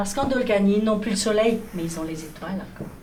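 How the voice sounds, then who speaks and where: A woman speaks with fairly even intonation at a fairly high pitch. Noticeable background noise is present. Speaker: storyteller. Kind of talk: children's storytelling performance.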